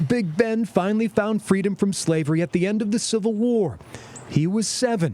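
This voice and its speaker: High-pitched male speech at a moderate pace, with noticeable background noise. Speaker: TV news reporter narrator. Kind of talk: TV news narration.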